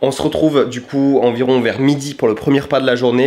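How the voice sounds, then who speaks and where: A man talks at a very fast pace. There is noticeable background noise behind him. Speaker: fitness and weight-loss youtuber. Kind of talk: vlog-style cooking tutorial. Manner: casual, chatty.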